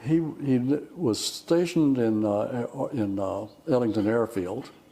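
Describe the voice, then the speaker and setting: A man with a Texas accent speaks at medium pitch with ordinary pitch variation, amid noticeable background noise and audible room echo. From Texas, Houston area (Addicks). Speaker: retired dairy farmer. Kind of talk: oral history interview. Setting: fellowship hall. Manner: halting, repeats words.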